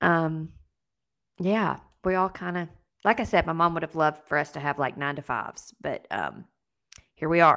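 A woman speaks in a Southern US accent with a bright, sharp tone. She leaves long, frequent pauses, and her pitch varies in an ordinary way. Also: fairly low pitch for a woman, moderate pace. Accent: Southern US, noticeable twang. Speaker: podcast co-host. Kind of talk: casual interview chat.

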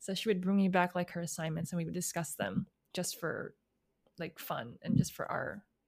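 A woman with an American accent speaks at a moderate pace in a fairly low pitch, with vocal fry and ordinary pitch variation. Her loudness swings widely. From US Midwest, outside Chicago, Illinois. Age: 20s. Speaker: analyst, model and recording artist. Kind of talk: interview.

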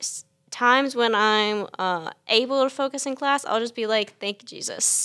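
On a very clean recording with a silent background, a woman talks at a moderate pace in a fairly high voice with ordinary pitch variation, an unremarkable speaking voice. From US South, South Carolina. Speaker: college student. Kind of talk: casual chat.

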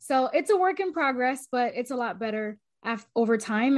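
A woman speaks with an American accent. The background is quiet. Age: 20s. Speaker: reporter. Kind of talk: interview. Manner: animated, many fillers.

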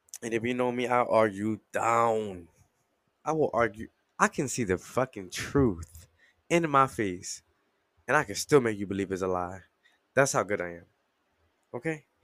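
A man speaks at medium pitch and a moderate pace in an animated tone, his intonation lively and his delivery broken by long, frequent pauses, on a very clean recording with a silent background. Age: 20s. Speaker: podcast host. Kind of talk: casual monologue.

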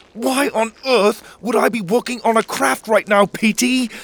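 A put-on character voice growls at a fairly high pitch and a moderate pace. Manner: growling, irritated.

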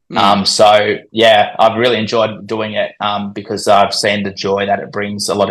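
A man speaks with an Australian accent. His intonation is monotone and flat. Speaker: cricket commentator and social media account runner.

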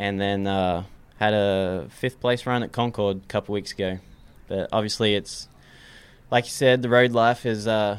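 A man with an American accent, fairly low in pitch, monotone and flat in intonation, at a moderate pace. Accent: Australian with some American. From Australia. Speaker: race car mechanic. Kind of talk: casual interview.

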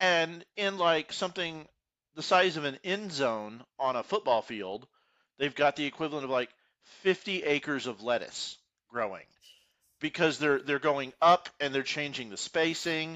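With a Texan accent, a man speaks at a fairly slow pace and fairly high pitch, using lively intonation. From Texas, Houston suburbs. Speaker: podcast co-host. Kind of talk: casual chat.

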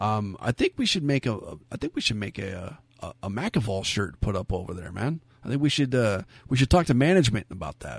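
A man speaks fairly quickly at a medium pitch, somewhat breathy. His pitch swings very widely and his loudness shifts a lot. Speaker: wrestling podcast host. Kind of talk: casual chat. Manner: animated.

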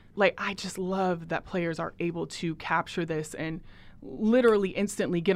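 An ordinary speaking voice comes through with an American accent and fairly even intonation. The recording is very clean, with a silent background. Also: woman. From US Pacific Northwest, Portland. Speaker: sports podcast host. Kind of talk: interview.

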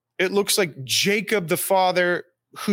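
A man's bright, sharp voice on a very clean recording with a silent background. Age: 40s. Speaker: executive coach and pastor. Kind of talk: casual chat.

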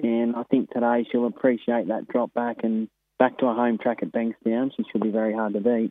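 Monotone and flat in intonation, a man with an Australian accent speaks at a medium pitch. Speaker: harness racing trainer and driver. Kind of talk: phone interview.

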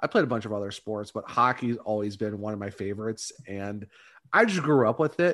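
A man with an American accent and a normal speaking voice, fairly low in pitch, with ordinary pitch variation at a fairly quick pace, on a very clean recording with a silent background. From Northeast Ohio (Ravenna, near Akron). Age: 30s. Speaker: hockey podcaster. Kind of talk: casual chat.

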